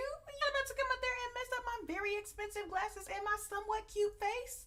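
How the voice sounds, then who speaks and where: With an American accent, a woman talks in a raised, projected voice with a bright, sharp tone. She sounds animated, and her pitch varies in an ordinary way. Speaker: vlogger. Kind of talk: storytime vlog. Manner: loud.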